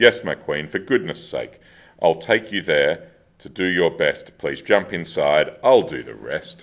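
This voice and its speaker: Putting on a sing-song character voice, a man speaks at a fairly slow pace. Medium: stage play. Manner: sing-song rhyming.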